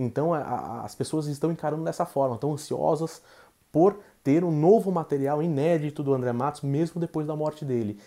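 His tone is dark and mellow, with a fairly high pitch and ordinary pitch variation. The man keeps a moderate pace. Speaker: documentary director. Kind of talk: remote interview.

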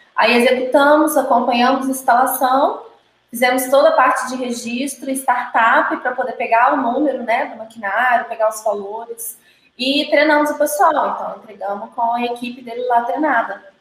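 A woman with a high pitch talks at a moderate pace with fairly even intonation. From Brazil, Minas Gerais. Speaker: brewer and brewery consultant. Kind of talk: casual chat.

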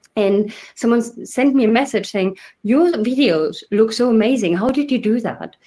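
Fairly high female pitch, ordinary pitch variation, and a medium tempo. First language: not English. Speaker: podcast host. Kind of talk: casual chat.

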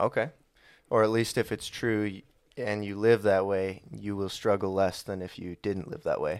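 A man uses an ordinary speaking voice at a fairly low pitch and moderate pace. His intonation is fairly even, and the recording is very clean with a silent background. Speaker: podcast host. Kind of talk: casual chat.

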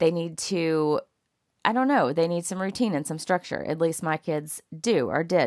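In a Southern US accent, a woman with a fairly low voice speaks at a moderate pace with lively intonation on a very clean recording with a silent background. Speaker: podcast host. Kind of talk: solo monologue. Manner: casual, many fillers.

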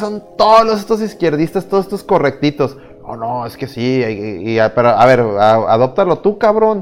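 A man with a Mexican accent speaks at a fairly slow pace in a fairly high voice, his pitch swinging very widely and his loudness rising and falling sharply, with music playing behind him. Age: 30s. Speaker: podcast host. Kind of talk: casual chat. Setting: virtual studio.

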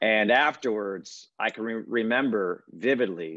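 An unremarkable speaking voice from a man, fairly low in pitch, with ordinary pitch variation and an American accent. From Connecticut, US. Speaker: play-by-play announcer. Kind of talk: interview.

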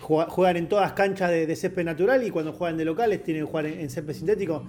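A Rioplatense accent at a very fast pace, ordinary pitch variation, and noticeable background noise. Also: man. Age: 30s. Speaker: sports journalist. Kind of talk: casual chat.

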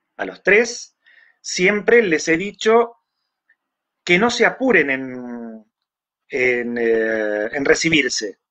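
Very slowly, a man talks in a bright, sharp tone. His pitch swings very widely. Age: 60s. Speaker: electronics engineer and magazine editor. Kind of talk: interview.

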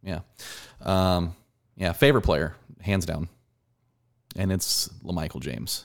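In a very deep, low voice with vocal fry, a man talks at a fairly slow pace with ordinary pitch variation and long, frequent pauses. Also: very clean recording, silent background. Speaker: podcast co-host. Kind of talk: casual chat.

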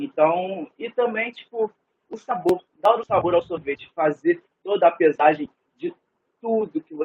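The man speaks at a very slow pace. His intonation is lively. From Rio de Janeiro state, Niterói. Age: 20s. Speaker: cook. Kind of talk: casual interview.

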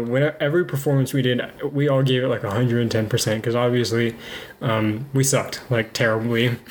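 Man at a medium pitch and fairly quick pace, very even loudness, noticeable background noise. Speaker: podcast co-host. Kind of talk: casual chat. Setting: home kitchen. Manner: fluctuating volume.

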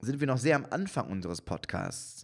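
Vocal fry marks this man's voice as he speaks at a fairly slow pace with lively intonation. The recording is very clean, the background silent. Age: 30s. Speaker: podcast co-host and comedian. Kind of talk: casual chat. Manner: halting.

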